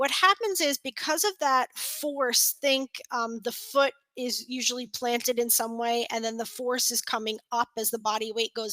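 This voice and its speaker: A woman with a New York accent speaks at a moderate pace with hardly any pauses, her high-pitched voice bright and sharp in tone, with ordinary pitch variation, in a dry, close sound with no echo. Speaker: continuing education presenter, physical therapy. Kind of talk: lecture. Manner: hesitant fillers.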